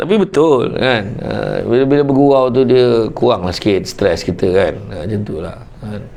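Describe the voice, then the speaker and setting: A man talks at a moderate pace with a medium pitch and ordinary pitch variation. Noticeable background noise can be heard. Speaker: Islamic preacher. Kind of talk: humorous religious talk. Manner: animated.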